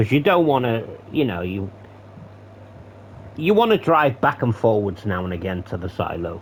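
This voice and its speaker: This man's voice sits fairly low and sounds somewhat breathy, with lively intonation and big swings in loudness. He talks at a moderate pace, leaving long, frequent pauses. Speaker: gaming commentator. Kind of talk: gameplay commentary. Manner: casual, swearing asides.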